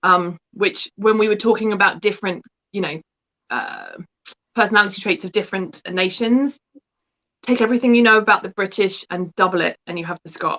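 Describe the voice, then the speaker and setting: This woman speaks with an English accent at a medium pitch and a fairly quick pace, with ordinary pitch variation. Her tone is bright and sharp, and the sound is dry and close with no echo. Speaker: book contributor, spiritual practitioner. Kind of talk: interview.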